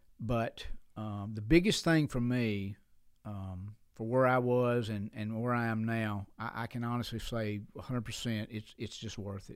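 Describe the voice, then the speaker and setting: A man with an Alabama accent speaks at a fairly slow pace. His intonation is fairly even, and the recording is very clean with a silent background. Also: medium pitch for a man. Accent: Southern US (Alabama). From US South, Alabama (Sheffield). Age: 60s. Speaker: pastor. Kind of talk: casual interview chat.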